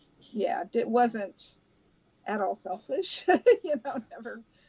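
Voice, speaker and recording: A woman speaks with an American accent at a fairly high pitch. Her pitch swings very widely, and vocal fry creeps in. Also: long, frequent pauses. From grew up abroad, Brazil and US (Albuquerque). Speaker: interviewee, mother. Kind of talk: interview. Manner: hesitant, many fillers.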